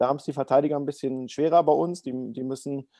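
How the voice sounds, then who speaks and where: The delivery moves at a very fast pace. The tone is dark and mellow, with fairly even intonation. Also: man. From Berlin, Germany. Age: 30s. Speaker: para ice hockey goalkeeper. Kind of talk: interview. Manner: hesitant, many fillers.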